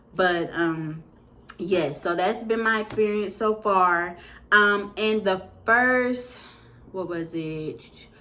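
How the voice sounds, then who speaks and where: Very slowly and with long, frequent pauses, a woman speaks in a bright, sharp tone amid audible room echo. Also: medium pitch for a woman, ordinary pitch variation. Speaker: vlogger. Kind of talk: casual product review. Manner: hesitant with fillers.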